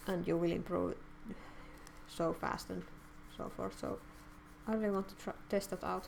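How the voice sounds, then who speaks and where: A woman speaks with a non-native accent at a moderate pace. Her speech is broken by long, frequent pauses. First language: not English. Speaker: artist streamer. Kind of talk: live stream chat while drawing. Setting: live stream. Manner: halting.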